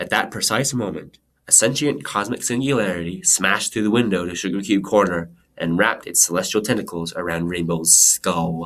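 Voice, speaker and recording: Speaking at a fairly quick pace, a man has a very deep, low pitch with ordinary pitch variation. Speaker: amateur audiobook reader. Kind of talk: fan fiction audiobook reading. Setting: laptop microphone.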